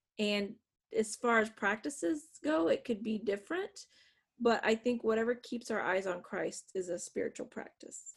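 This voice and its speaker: A woman with an American accent speaks at a moderate pace in a fairly high, somewhat breathy voice with ordinary pitch variation. The background is quiet. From northwest Pennsylvania. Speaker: author and adjunct professor. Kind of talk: interview.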